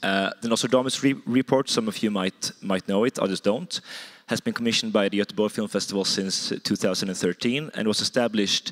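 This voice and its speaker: Talking at a very fast pace, a man with a fairly low pitch keeps his intonation fairly even. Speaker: film festival industry head. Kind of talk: conference presentation.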